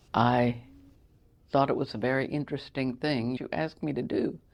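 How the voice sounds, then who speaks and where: With a Texan accent, a woman talks at a moderate pace with fairly even intonation. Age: 70s. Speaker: interviewee sharing life story. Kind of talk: casual interview, personal storytelling. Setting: makeshift studio.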